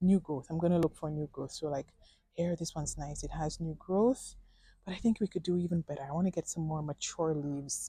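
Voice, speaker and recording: A woman speaks at a fairly quick pace with a somewhat breathy, dark, mellow tone and fairly low pitch. Her pitch varies in an ordinary way, and the sound is dry and close with no echo. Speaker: plant vlogger. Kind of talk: casual vlog tutorial. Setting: plant nursery.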